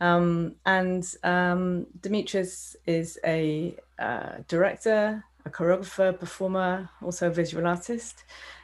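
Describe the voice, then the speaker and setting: A woman talks at a fairly slow pace, her fairly low pitch held in fairly even intonation. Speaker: dance festival director. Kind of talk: interview host. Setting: video call. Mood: warm, welcoming. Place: home room. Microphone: earbuds.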